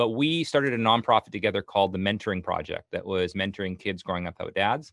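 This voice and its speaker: A man talks in a normal speaking voice. His pace is fairly quick and his intonation lively. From Canada. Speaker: nonprofit ministry leader. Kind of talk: interview.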